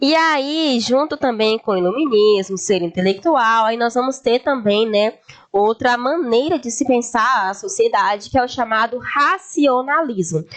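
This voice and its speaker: Speaking at a fairly slow pace with hardly any pauses, a woman uses a high pitch and lively intonation against noticeable background noise. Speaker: history teacher. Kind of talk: lecture.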